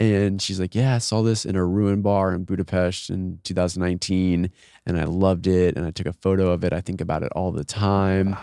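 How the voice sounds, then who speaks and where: With an American accent, a man speaks at a fairly quick pace in a very deep, low pitch, a dark, mellow tone and fairly even intonation. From Austin, Texas. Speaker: entrepreneur and traveler. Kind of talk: casual chat. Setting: studio.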